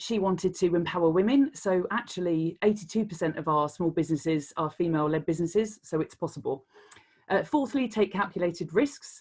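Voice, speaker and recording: A woman with a British accent speaks in a medium pitch with ordinary pitch variation against a quiet background. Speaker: creative director. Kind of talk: Q&A answers; conference talk. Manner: fast.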